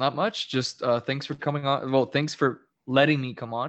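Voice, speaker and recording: A man's medium-pitched voice, fairly even in intonation, at a fairly slow pace. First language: Spanish. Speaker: social media account creator. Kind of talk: casual chat.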